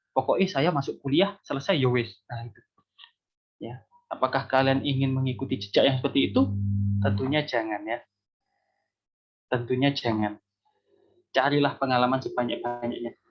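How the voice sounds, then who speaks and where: Over music in the background, a man speaks at a moderate pace and medium pitch, with long, frequent pauses. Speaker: university lecturer. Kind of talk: lecture. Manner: animated.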